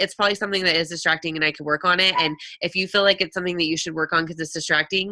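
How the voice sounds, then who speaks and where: Over noticeable background noise, a woman talks in an animated tone at a medium pitch. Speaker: network marketing coach. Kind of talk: live webinar Q&A. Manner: fast.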